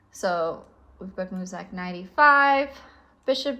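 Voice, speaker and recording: A woman with a South African accent, bright and sharp in tone, fairly slow, with ordinary pitch variation, on a very clean recording with a silent background. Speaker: chess teacher. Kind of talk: tutorial.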